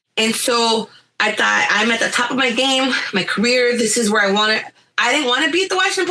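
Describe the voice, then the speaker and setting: Speaking at a very fast pace, a woman sounds animated, with lively intonation and a fairly high pitch. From US, Guatemalan-Nicaraguan-American family. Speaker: visual journalist and artist. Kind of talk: interview. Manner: loud.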